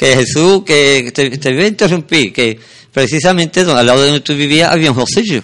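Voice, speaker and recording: A man with a fairly high pitch keeps very even loudness and ordinary pitch variation. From Sanlúcar de Barrameda, Andalusia, Spain. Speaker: radio host. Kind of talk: casual chat; reading aloud. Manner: halting.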